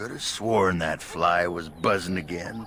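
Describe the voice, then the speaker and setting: In a put-on character voice, a man speaks raspy and at a very deep, low pitch. He goes at a fairly slow pace, with clear background noise. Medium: video game. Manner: crude, teasing.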